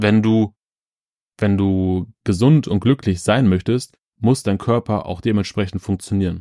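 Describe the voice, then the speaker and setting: A man's fairly low, dark and mellow voice at a fairly slow pace with ordinary pitch variation, in a very clean recording with a silent background and a dry, close sound with no echo. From Ruhr area, Germany (Schwerte). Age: 30s. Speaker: podcast host. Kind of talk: motivational monologue. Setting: childhood bedroom at parents' home.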